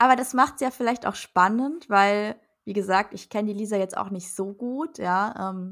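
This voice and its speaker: A woman speaks in an ordinary speaking voice at medium pitch, with ordinary pitch variation and a moderate pace. Her loudness swings widely, and the recording is very clean with a silent background. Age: 20s. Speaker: podcast co-host, physician assistant. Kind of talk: casual chat.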